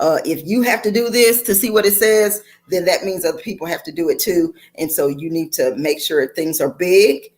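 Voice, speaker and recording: A woman is speaking. Her pace is moderate. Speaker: empowerment coach. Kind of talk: online master class. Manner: loud; animated.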